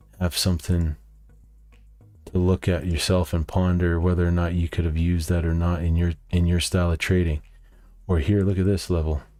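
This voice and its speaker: A man with a very deep, low voice speaks in a monotone, flat way, with very even loudness. Long, frequent pauses break his speech, and music plays in the background. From Canada. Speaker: day trader, market video host. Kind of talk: market recap tutorial. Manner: casual, with frequent fillers.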